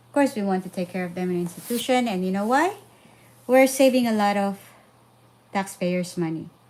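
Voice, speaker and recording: A woman with a Filipino accent and a medium pitch talks at a fairly quick pace with ordinary pitch variation, yet leaves long, frequent pauses. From Philippines. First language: Filipino language. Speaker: parenting vlogger. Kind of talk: casual live stream talk. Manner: halting with fillers.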